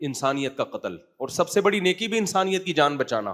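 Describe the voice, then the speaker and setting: The tone is animated. The intonation is lively. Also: man. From Pakistan (Karachi). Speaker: Islamic scholar and mufti giving a sermon. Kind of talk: religious sermon (bayan) to an audience. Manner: conversational, animated, rhetorical questions.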